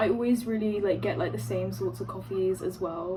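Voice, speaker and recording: A woman speaks at a fairly quick pace, with audible room echo and noticeable background noise. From London, England. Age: 20s. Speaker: vlogger, university student. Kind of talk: casual get-ready-with-me vlog. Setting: at home by an open window. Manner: filler-heavy, rambling with many ums and likes.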